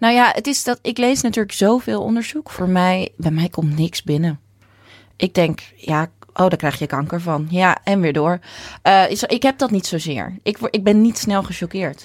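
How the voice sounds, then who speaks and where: A woman with a normal speaking voice talks at a medium pitch and moderate pace with lively intonation, recorded very cleanly against a silent background with a dry, close sound and no echo. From Netherlands, Texel. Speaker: nutritionist and orthomolecular therapist. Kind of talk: interview.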